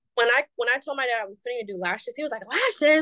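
A woman speaks in an American accent. Her pace is very fast. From San Francisco Bay Area, California. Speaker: beauty business owner. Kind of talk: casual chat.

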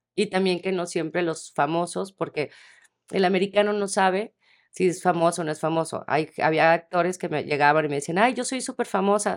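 A woman with an unremarkable speaking voice talks at a fairly quick pace and medium pitch with ordinary variation, on a very clean recording with a silent background. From Mexico, Tepic (Nayarit). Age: 40s. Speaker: casting director. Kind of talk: interview.

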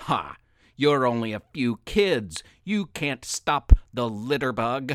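Putting on a growling character voice, a man speaks at a medium pitch and a fairly slow pace in a very clean recording with a silent background. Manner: snarling, taunting.

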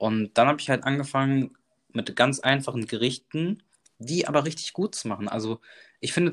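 A man's ordinary speaking voice at a medium pitch, fairly quick in pace, with ordinary pitch variation. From Germany, Bonn. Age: 20s. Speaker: cooking content creator. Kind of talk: casual interview. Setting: remote call.

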